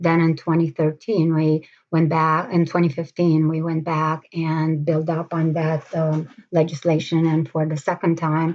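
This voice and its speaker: With a Romanian accent, a woman speaks fairly slowly in a very deep, low pitch and a monotone, flat intonation. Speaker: mayoral candidate, nurse. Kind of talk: interview. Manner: halting, many fillers.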